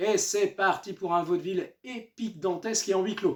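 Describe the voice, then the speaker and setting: A man's voice with lively intonation at a fairly slow pace. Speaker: comic book reviewer. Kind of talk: book review. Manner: animated; halting with many fillers.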